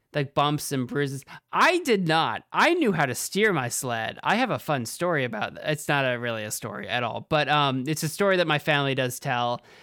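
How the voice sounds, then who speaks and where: A fairly quick pace in a very clean recording, silent background. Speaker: podcast host. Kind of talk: casual banter, comedy skit. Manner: fast talker, hard to understand at times.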